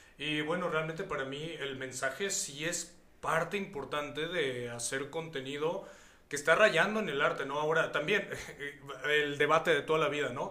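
Noticeable background noise and audible room echo around a man speaking at a moderate pace. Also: fairly high pitch for a man, ordinary pitch variation. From Mexico, Hidalgo. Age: 30s. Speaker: singer-songwriter. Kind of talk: interview.

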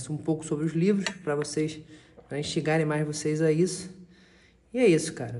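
With a plain, everyday voice, a man speaks at a fairly quick pace, his fairly high pitch held in fairly even intonation. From Rio de Janeiro. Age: 20s. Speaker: podcast panelist, finance professional. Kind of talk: casual group discussion.

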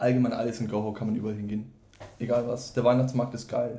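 The man talks at a very fast pace in a medium pitch, his tone dark, mellow and somewhat breathy. Room echo can be heard. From Franconia, Germany (Wendelstein near Nuremberg). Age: 20s. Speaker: student. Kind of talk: casual chat.

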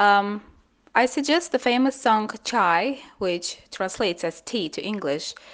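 A woman with an Azerbaijani accent speaks at a very slow pace against a quiet background. Her fairly high pitch moves in very wide swings. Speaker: linguist. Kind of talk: interview answers.

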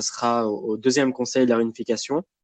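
A man is speaking. The background is quiet. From Lebanon. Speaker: reality game fan. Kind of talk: casual chat.

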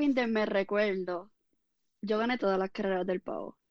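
Against a quiet background, a woman with a normal speaking voice talks at a moderate pace with ordinary pitch variation. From Puerto Rico, Ponce area. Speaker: fitness coach and former athlete. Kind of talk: interview.

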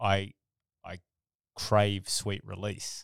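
A man speaks with an Australian accent at a fairly low pitch. The recording is very clean, with a silent background and a dry, close sound with no echo. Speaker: podcast co-host, military veteran. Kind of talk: casual chat.

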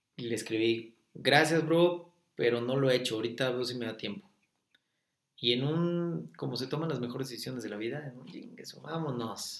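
A man talks at a medium pitch with ordinary pitch variation. His loudness swings widely. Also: moderate pace. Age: 20s. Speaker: horse trainer. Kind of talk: interview conversation. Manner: animated.

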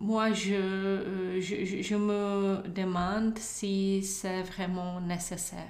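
A woman with a Czech accent speaks at a very slow pace and medium pitch, her intonation monotone and flat, with hardly any pauses. Noticeable background noise and audible room echo surround her. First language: Czech (speaking French). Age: 40s. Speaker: former government official, EU agency communications chief. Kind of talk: interview. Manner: halting.

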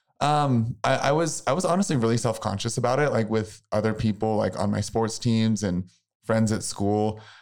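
With an American accent and a normal speaking voice, a man talks at a moderate pace and medium pitch, showing ordinary pitch variation and very even loudness in a very clean recording with a silent background. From US Midwest, small-town Missouri. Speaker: former college mascot and author. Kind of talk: interview.

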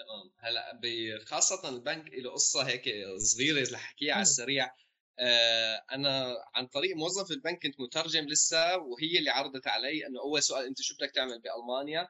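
Speaking with a Homs accent, a man at a fairly high pitch keeps a moderate pace with hardly any pauses and ordinary pitch variation. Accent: Levantine Arabic (Syrian, Homs). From Homs, Syria. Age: 20s. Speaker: young politician and bank trainee. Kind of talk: casual interview chat.

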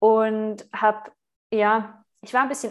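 Her intonation stays monotone and flat. This woman's voice is fairly high in pitch. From Switzerland. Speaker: spiritual retreat leader and podcaster. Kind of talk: interview conversation.

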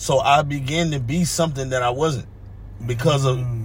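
Audible room echo and noticeable background noise are present throughout the recording. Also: man. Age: 30s. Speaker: podcast guest. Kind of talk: casual chat.

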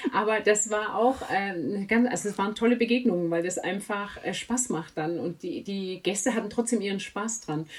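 A woman speaks at a medium pitch and moderate pace, with hardly any pauses. Noticeable background noise runs underneath. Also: ordinary pitch variation. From outside Swabia, not native to the region. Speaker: author, editor and reading coach. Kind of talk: casual interview. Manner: many fillers and hesitations.

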